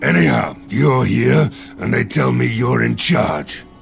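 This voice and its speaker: With clear music in the background, a man puts on a raspy character voice at a very deep, low pitch, moving fairly slowly through very wide pitch swings. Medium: short film. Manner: blunt, gruff.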